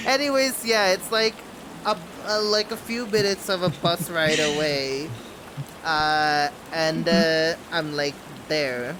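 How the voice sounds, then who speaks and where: Against noticeable background noise, a man talks very slowly at a high pitch with lively intonation and long, frequent pauses. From Bangladesh. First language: not English. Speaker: streamer. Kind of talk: casual chat. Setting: live stream.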